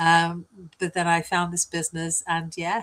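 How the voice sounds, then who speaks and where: With a British accent, a woman speaks at a moderate pace in a fairly low pitch. The very clean recording has a silent background and a dry, close sound with no echo. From UK. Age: 60s. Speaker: business coach. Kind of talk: interview.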